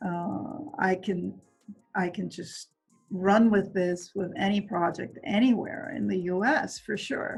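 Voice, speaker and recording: A woman's medium-pitched voice at a very slow pace, with ordinary pitch variation and music in the background. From Venezuela. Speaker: construction executive. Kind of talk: interview answer. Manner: soft-spoken.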